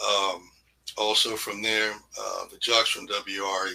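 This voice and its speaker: The speaker is a man with an American accent. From US South, Newport News, Virginia. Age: 60s. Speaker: radio DJ. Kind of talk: interview. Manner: casual, conversational.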